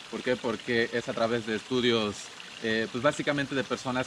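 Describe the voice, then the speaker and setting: Noticeable background noise sits behind a man speaking at medium pitch with fairly even intonation. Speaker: tour guide. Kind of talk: interview. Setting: outdoor cabins venue in Palenque.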